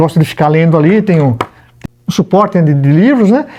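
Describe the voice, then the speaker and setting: Very fast and full of lively intonation, a man's voice rattles along. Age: 60s. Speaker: retired prosecutor, lawyer. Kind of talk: casual interview at home. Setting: home library. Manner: hesitant, many fillers.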